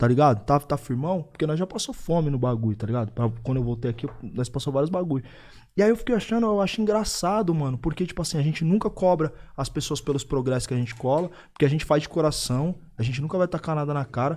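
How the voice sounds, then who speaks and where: In a very clean recording with a silent background, a man speaks very fast at a fairly high pitch with lively intonation. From Osasco and Bauru, São Paulo state. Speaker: podcast co-host, stand-in. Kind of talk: casual podcast chat.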